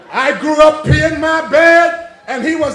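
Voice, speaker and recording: The voice is loud, with ordinary pitch variation. Room echo is audible, and background noise is noticeable. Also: man. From British Virgin Islands (Cane Garden Bay, Tortola). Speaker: political candidate. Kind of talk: campaign rally speech. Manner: loud, rambunctious.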